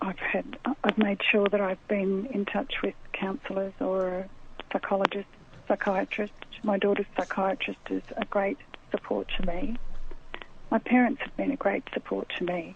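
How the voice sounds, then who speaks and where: A woman's normal speaking voice at a medium pitch, with ordinary pitch variation and a fairly slow pace. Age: 60s. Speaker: author interviewed about grief. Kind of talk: radio interview.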